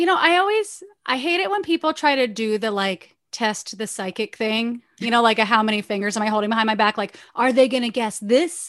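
A woman with an unremarkable speaking voice, fairly high pitch, lively intonation and a fairly quick pace. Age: 40s. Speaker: podcast host. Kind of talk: casual chat.

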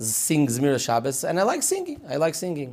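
This man speaks at a moderate pace in a fairly high voice. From Israel, Petach Tikva. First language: Hebrew. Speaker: author of Torah books. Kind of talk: interview conversation.

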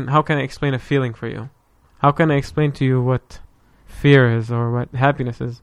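In an Arabic accent, a man speaks at a fairly quick pace with fairly high pitch and fairly even intonation. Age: 20s. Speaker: podcast guest. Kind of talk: casual chat.

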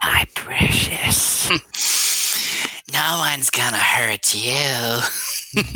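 A man speaks very slowly in a raspy, put-on character voice pitched in the middle range. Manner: coveting, crooning.

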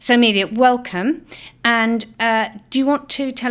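A woman with a British accent and ordinary pitch variation. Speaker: politician and podcast host. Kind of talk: interview.

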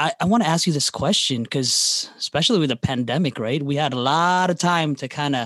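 A man with an American accent speaks in a normal speaking voice at a moderate pace, his pitch fairly high, with a quiet background and a dry, close sound with no echo. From Chicago. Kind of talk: casual podcast conversation.

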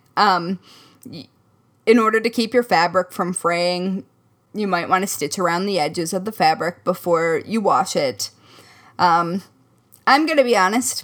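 A woman with an American accent speaks at a medium pitch with long, frequent pauses in a very clean recording against a silent background. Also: ordinary pitch variation, moderate pace. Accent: slight Midwestern, surfaces occasionally. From US Midwest. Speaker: crafting podcast co-host. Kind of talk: casual chat.

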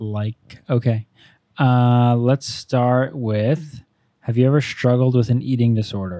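A man's dark, mellow voice at medium pitch, very slow, with fairly even intonation and a dry, close sound with no echo. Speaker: husband of host, guest. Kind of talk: casual chat.

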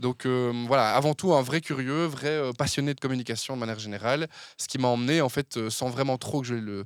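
A man talks in a plain, everyday voice, medium in pitch with ordinary variation. The recording is very clean, with a silent background. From Belgium, Verviers area (Wallonia). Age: 20s. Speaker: communication agency founder. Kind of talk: casual interview.

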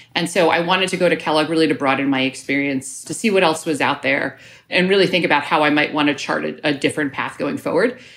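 The speaker has an American accent and ordinary pitch variation. The delivery is very fast, with hardly any pauses. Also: woman, very deep, low pitch for a woman. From New York. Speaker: management consultant. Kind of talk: interview.

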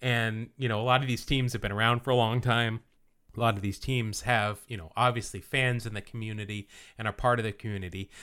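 In an ordinary speaking voice, a man talks at a fairly quick pace with medium pitch and fairly even intonation on a very clean recording with a silent background. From US West (Utah). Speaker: baseball podcast co-host. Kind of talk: casual chat. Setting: studio.

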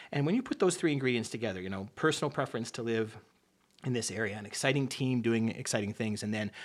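A man with a slight Canadian accent talks at a very fast pace with ordinary pitch variation. The recording is very clean, with a silent background. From Canada and upstate New York. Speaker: business school dean. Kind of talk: radio interview.

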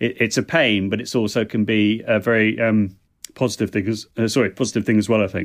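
With a British accent, a man talks at a fairly quick pace in a fairly low pitch, his intonation monotone and flat and his loudness very even. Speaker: foreign language and technology consultant. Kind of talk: casual interview chat.

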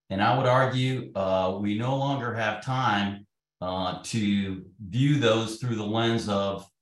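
A man's plain, everyday voice, fairly low in pitch, fairly slow, with fairly even intonation. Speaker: retired air force general. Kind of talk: panel discussion.

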